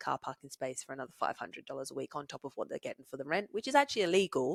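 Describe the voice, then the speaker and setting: The recording is dry and close, with no echo. A woman talks in a very deep, low pitch. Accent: British. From England. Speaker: podcast guest, host's partner. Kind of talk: casual chat.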